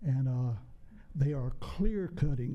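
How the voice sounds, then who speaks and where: With audible room echo around him, a man speaks at a fairly slow pace in a dark, mellow, somewhat breathy tone. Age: 70s. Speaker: public commenter at town council meeting. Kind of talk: public comment at council meeting. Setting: council chamber.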